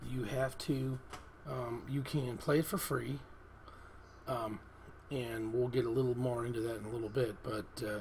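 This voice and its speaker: A man speaks at a medium pitch and a fairly slow pace. Room echo is audible. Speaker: app reviewer. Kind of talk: tutorial. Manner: hesitant, many fillers.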